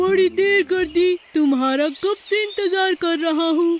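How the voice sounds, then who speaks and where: A cartoonish character voice at a moderate pace. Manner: warm, friendly.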